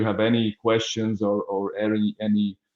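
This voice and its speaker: At a moderate pace and medium pitch, a man with a Hungarian accent talks in monotone, flat intonation. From Hungary. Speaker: business development manager. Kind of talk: webinar introduction. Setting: online webinar. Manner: halting, many fillers.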